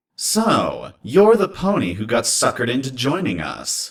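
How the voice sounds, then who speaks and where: A man puts on a character voice, moving at a moderate pace with very wide pitch swings. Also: fairly high pitch for a man. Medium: read story. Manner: casual, easygoing.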